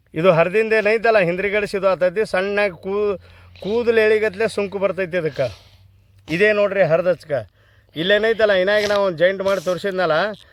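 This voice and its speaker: A high-pitched man speaks with fairly even intonation. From northern Karnataka, Vijayapura district. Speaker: traditional herbal healer. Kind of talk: outdoor tutorial video on herbal remedies. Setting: outdoors on a hillside. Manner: casual, repetitive, conversational.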